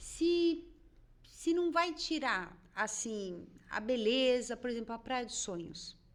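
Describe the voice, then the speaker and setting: Soft-spoken and high-pitched, a woman talks at a very slow pace with very wide pitch swings. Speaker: podcast host. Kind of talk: podcast interview.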